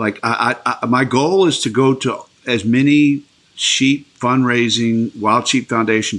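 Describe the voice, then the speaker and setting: A man talks at a fairly slow pace in an ordinary speaking voice. His pitch varies in an ordinary way. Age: 60s. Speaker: hunter and small business owner. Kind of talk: casual interview.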